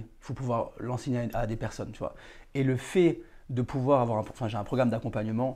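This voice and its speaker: A man with a medium pitch and a dark, mellow tone speaks at a moderate pace. His intonation is fairly even, and the background is quiet. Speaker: real estate dealer and podcast host. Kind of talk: casual interview chat.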